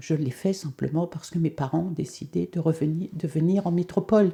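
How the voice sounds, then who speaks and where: A woman speaks at a fairly low pitch with a dark, mellow tone, somewhat breathy, and ordinary pitch variation. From France (left Algeria at age two). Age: 70s. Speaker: holistic therapist. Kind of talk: testimony. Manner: hesitant, many 'euh' fillers.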